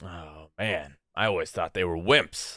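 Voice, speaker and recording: A man puts on a character voice, very deep and low in pitch, and delivers his lines at a fairly slow pace. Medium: actual play. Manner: blunt, gruff.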